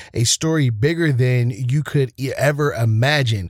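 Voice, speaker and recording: Recorded very cleanly over a silent background, a man talks in an ordinary speaking voice at a medium pitch, with ordinary pitch variation and a dry, close sound with no echo. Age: 30s. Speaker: podcast host. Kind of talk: casual chat.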